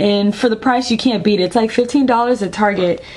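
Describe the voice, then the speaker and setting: Against noticeable background noise, a woman talks in a fairly high voice. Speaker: beauty vlogger. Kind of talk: product review vlog. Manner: casual with many fillers.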